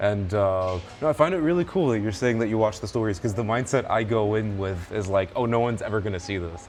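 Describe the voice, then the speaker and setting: Over music in the background, a man talks at a fairly quick pace with ordinary pitch variation. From Middle East. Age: 20s. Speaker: content creator and Muay Thai fighter. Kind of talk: casual chat.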